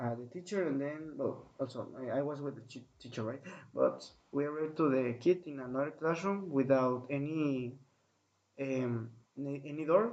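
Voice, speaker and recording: A man speaks with a Spanish accent. His pitch sits fairly high, with ordinary variation. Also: moderate pace. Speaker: podcaster. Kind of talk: recounting a dream. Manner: halting.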